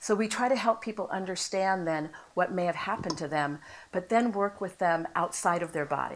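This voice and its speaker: In an American accent, a woman with a plain, everyday voice speaks at a fairly quick pace, medium pitch and ordinary pitch variation. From United States. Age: 60s. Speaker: trauma therapist. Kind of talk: panel discussion.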